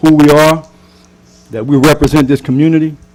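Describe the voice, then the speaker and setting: In a flat monotone, a man with an American accent speaks at a fairly high pitch. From US South (Louisiana). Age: 60s. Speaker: pastor. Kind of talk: public comment at council meeting. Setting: council meeting chamber.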